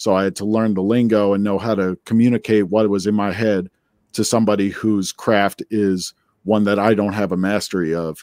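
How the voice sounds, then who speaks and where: A man with a fairly low pitch speaks in an American accent with monotone, flat intonation. The sound is dry and close with no echo, on a very clean recording with a silent background. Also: moderate pace, very even loudness. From New Jersey. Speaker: musician and bandleader. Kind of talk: interview.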